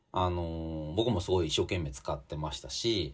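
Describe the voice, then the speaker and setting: A man's somewhat breathy voice is heard on a very clean recording against a silent background. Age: 40s. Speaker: magazine editor and podcast host. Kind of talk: solo commentary podcast. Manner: casual with many filler words.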